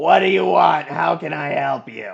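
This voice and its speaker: A man puts on a raspy character voice, pitched fairly high and delivered at a moderate pace. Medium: actual play.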